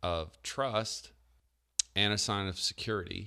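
Heard in a very clean recording with a silent background, a man speaks in a fairly low voice with a bright, sharp tone. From Newfoundland, Canada. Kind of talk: casual interview chat.

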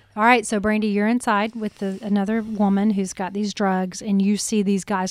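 A woman with a Southern US accent speaks at a fairly quick pace, with hardly any pauses. Her voice sits at a medium pitch, and her intonation is monotone and flat. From Alabama, US South. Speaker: podcast host and journalist. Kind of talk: casual interview.

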